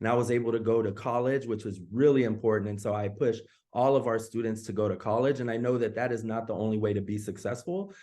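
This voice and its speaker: Fairly low male voice, dark and mellow in tone, over a quiet background. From US West Coast, East Oakland, California. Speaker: assistant principal. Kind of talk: personal story told to parents on a call. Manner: halting, with many fillers and repeats.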